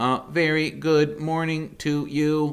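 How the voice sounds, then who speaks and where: A man does a put-on character voice at a fairly high pitch. The delivery is very slow, with monotone, flat intonation. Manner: friendly, booming.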